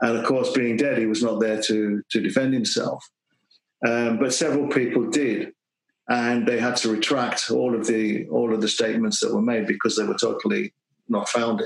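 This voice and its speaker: A man speaks with a British accent at a moderate pace. His loudness stays very even. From UK. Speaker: kendo teacher and author. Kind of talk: casual interview.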